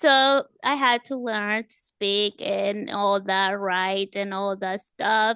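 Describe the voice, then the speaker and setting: The recording is dry and close, without echo. A woman talks in a Spanish accent. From El Salvador. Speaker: author and home improvement business owner. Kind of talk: interview. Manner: halting.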